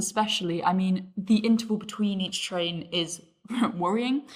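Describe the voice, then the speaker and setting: A woman speaks in a fairly high pitch, somewhat breathy. Her intonation stays fairly even. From northern England. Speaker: podcast panelist. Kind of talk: casual chat.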